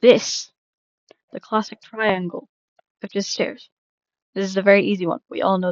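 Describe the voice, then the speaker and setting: With big swings in loudness and ordinary pitch variation, a woman speaks with long, frequent pauses. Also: medium pitch for a woman. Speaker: Minecraft content creator. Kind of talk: casual tutorial rambling. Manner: fast; hesitant, many repetitions and fillers.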